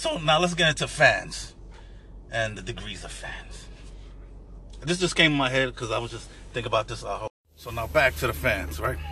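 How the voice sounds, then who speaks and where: A man with a New York accent speaks at a moderate pace, taking long, frequent pauses. Noticeable background noise can be heard. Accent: New York City, urban. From New York City. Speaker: podcast guest, Knicks fan. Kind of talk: casual banter about basketball.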